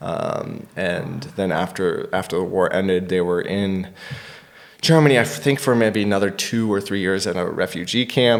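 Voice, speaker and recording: A normal speaking voice from a man with an American accent, fairly low in pitch, with ordinary pitch variation and a moderate pace. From United States. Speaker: stand-up comedian. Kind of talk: podcast interview answer.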